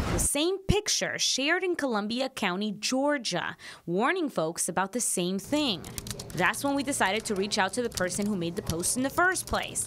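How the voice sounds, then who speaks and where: Over noticeable background noise, a woman speaks at a moderate pace with a fairly high pitch and very wide pitch swings. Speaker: TV news reporter. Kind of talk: TV news report.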